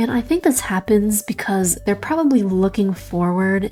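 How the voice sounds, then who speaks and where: Over music in the background, a woman speaks at a moderate pace. Her voice sits at a medium pitch with ordinary pitch variation. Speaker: gaming guide creator. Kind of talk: game guide voiceover.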